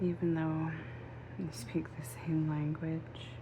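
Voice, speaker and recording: Soft-spoken and very slow, a woman talks in a very deep, low pitch with noticeable background noise behind her. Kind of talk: ASMR casual chit-chat to camera.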